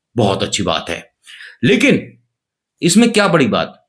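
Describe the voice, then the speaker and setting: A man is speaking. His pace is moderate. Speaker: news commentary youtuber. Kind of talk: comedic news narration. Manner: animated; subdued, slightly muffled. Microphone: cheap camera.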